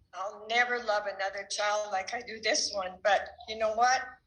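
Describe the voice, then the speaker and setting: In a room with audible echo, a woman with a bright, sharp tone speaks at a fairly slow pace, her pitch fairly high and her intonation fairly even. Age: 70s. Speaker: church member giving a talk. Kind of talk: church talk.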